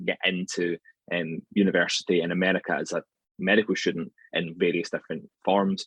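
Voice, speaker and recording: In a Scottish accent, a man speaks at a very deep, low pitch and a moderate pace. The sound is dry and close, with no echo. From Scotland, near Glasgow. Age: 30s. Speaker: anatomy lecturer. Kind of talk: podcast interview.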